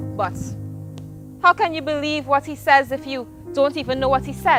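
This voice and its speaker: A woman speaks with music in the background. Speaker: spoken word poet. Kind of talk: spoken word poetry performance.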